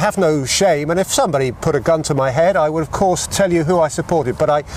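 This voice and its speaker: There is noticeable background noise behind the voice. A man talks with ordinary pitch variation. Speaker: football commentator. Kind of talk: interview answer.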